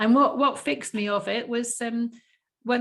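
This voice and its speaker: An unremarkable speaking voice at a moderate pace with fairly even intonation, in a very clean recording with a silent background. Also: woman. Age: 60s. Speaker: health coach and interviewer. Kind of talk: casual interview chat.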